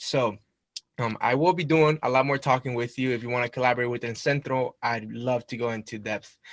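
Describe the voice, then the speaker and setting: Speaking at a fairly quick pace with a Spanish accent, a man keeps a medium pitch and fairly even intonation. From Mexico, moved to US at about eight. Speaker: university student club representative. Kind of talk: presentation to a club meeting. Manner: casual, with fillers.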